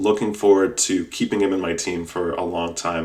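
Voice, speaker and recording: Delivered at a moderate pace, the speech has an animated tone. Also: man. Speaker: podcast host. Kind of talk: casual podcast monologue.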